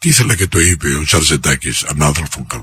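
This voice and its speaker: A man's pitch leaps across a very wide range while he keeps to a moderate tempo. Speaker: radio host. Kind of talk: radio talk show conversation.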